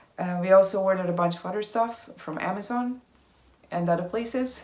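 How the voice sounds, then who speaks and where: A woman speaks with a Hungarian accent. Her pitch is medium, with ordinary variation. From Hungary. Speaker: vlogger. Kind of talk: casual vlog update. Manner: halting, many fillers.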